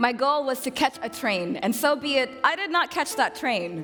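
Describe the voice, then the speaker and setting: A woman talks at a fairly slow pace. Music runs underneath her voice. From Sudanese-American. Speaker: poet. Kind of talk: slam poetry performance.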